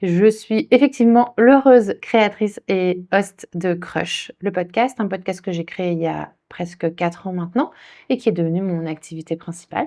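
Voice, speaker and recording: Pitch moves up and down in an ordinary way. The delivery comes at a fairly slow speed. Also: woman, medium pitch for a woman. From France, Saint-Denis (Paris suburbs). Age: 40s. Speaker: podcaster. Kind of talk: podcast interview. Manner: casual, some hesitation.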